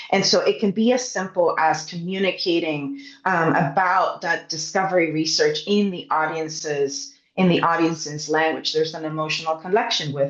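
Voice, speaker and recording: A woman with a Spanish accent at a moderate pace and fairly low pitch, ordinary pitch variation, over noticeable background noise. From Puerto Rico. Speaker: science communicator. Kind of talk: panel discussion.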